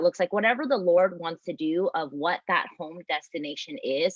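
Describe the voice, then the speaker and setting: In an American accent, a woman with a medium-pitched, normal speaking voice talks at a moderate pace with lively intonation. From US, immigrated from Vietnam as toddler. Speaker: pastor. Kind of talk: panel discussion.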